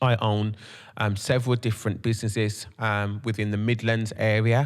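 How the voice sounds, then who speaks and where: A man with a strong Brummie accent, fairly low pitch, and monotone, flat intonation, in a very clean recording with a silent background. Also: moderate pace. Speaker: podcast host and creative entrepreneur. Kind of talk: podcast monologue. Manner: many filler ums.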